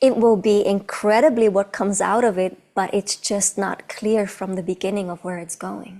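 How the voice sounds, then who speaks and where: Her medium pitch holds fairly even intonation as this woman talks at a moderate pace with hardly any pauses and big swings in loudness. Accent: non-native. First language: not English. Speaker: movement artist and choreographer. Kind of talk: casual chat.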